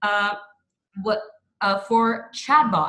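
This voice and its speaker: A woman is speaking. She has a bright, sharp tone. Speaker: doctor. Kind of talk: panel talk. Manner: fast.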